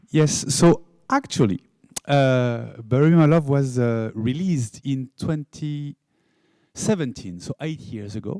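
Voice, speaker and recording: A man with a French accent speaks at a fairly slow pace and a fairly high pitch, with lively intonation, in a dry, close sound with no echo. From France. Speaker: game studio founder. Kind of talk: conference talk.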